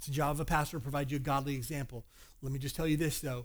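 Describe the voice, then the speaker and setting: A man with a Kentucky accent on a very clean recording with a silent background. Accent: Southern US (Kentucky). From Kentucky, US. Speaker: pastor. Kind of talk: sermon.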